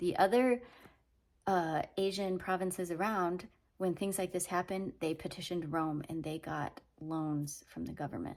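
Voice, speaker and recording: Speaking at a moderate pace, a woman has a plain, everyday voice, fairly low in pitch, with ordinary pitch variation. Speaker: Bible teaching vlogger. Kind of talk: casual teaching monologue. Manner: conversational.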